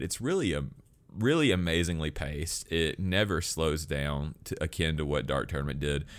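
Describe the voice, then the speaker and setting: With a Southern US accent, a man speaks at a very deep, low pitch with ordinary pitch variation, vocal fry and an animated tone. The recording is very clean, with a silent background. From Alabama. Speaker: podcast host. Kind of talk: casual chat. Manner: joking, animated.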